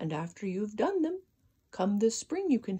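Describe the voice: The clip is plain reading aloud. Words are read out with nothing more.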